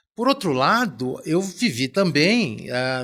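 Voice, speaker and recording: Fairly high and bright, sharp in tone, a man's voice swings very widely in pitch. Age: 60s. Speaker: business executive and professor. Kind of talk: podcast interview. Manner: hesitant, repeating words.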